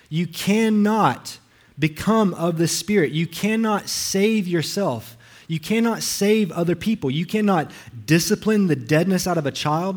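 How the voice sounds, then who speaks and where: With a Southern US accent, a man speaks at a fairly slow pace in a high voice with ordinary pitch variation. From US South, Alabama. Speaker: pastor. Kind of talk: sermon. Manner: halting, frequent repetitions.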